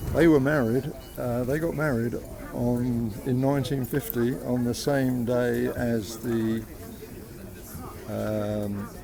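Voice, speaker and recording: With music in the background and audible room echo, a man speaks at a very slow pace in a medium pitch, his intonation fairly even and broken by long, frequent pauses. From London (Islington). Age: 60s. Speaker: football fan. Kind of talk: street interview. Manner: halting.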